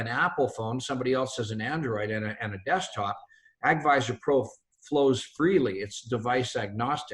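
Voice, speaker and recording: This man's medium-pitched voice is somewhat breathy, with ordinary pitch variation. He talks at a fairly quick pace. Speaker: company founder. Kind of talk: webinar presentation. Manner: fast.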